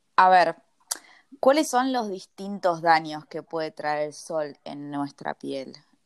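A woman talks at a very slow pace. The recording is very clean with a silent background, and the sound is dry and close with no echo. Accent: Rioplatense. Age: 20s. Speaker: podcast host. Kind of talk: interview.

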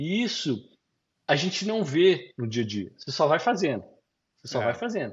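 A man with a fairly high, somewhat breathy voice swings very widely in pitch and greatly in loudness, leaving long, frequent pauses. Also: moderate pace. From Brazil. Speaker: business consultant and entrepreneur. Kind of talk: interview. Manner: halting.

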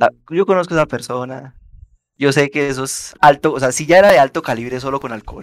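This man has a normal speaking voice, pitched fairly high with ordinary pitch variation, and he talks at a fairly quick pace. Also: dry, close sound with no echo. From Colombia, Bogotá and Yopal. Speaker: podcast host, sociology student. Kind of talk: casual chat.

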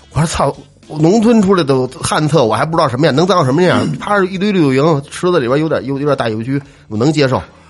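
A man's fairly high voice, very fast and animated, with lively intonation over music in the background. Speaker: podcast co-host. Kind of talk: casual chat.

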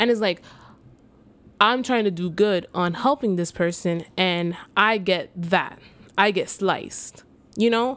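Against a silent background in a very clean recording, a woman speaks at a fairly slow pace and medium pitch, with ordinary pitch variation and long, frequent pauses. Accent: New York. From New York City (the Bronx). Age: 20s. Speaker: podcast host. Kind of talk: casual monologue.

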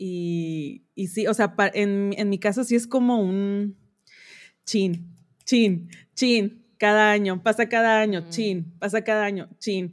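A woman speaking very slowly, on a very clean recording with a silent background. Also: medium pitch for a woman. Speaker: fashion designer. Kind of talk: casual chat.

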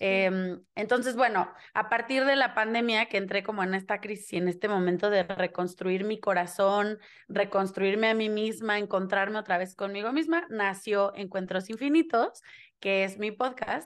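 A woman with a Mexican accent speaks at medium pitch and a moderate pace. Her pitch variation is ordinary, with a quiet background. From Mexico. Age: 20s. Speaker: human design reader and theatre teacher. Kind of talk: interview conversation.

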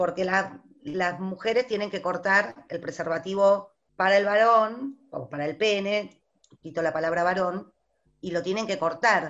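Speaking fairly slowly, a woman has an ordinary speaking voice with medium pitch and ordinary pitch variation. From Buenos Aires, Argentina. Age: 50s. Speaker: teacher. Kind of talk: panel discussion.

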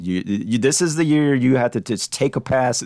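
A man with an American accent at a moderate pace, a plain, everyday voice. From United States. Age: 40s. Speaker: podcast host. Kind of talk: scripted narration; casual chat.

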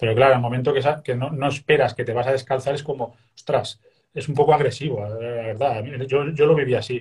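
The man talks at a fairly quick pace with a medium pitch. His voice is somewhat breathy, with fairly even intonation. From Spain, Castellón. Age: 40s. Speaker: Buddhist meditation teacher. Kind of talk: interview. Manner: frequent hesitations and repetitions.

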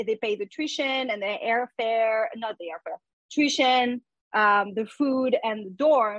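A woman's fairly high voice with ordinary pitch variation, at a very slow pace, with a French accent, over a quiet background. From France. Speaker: musician and tech recruiter. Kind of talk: casual chat.

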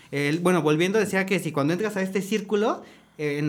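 He speaks at a very fast pace in a high pitch for a man. His pitch variation is ordinary. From Mexico, State of Mexico. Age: 20s. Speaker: chef. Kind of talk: casual panel discussion.

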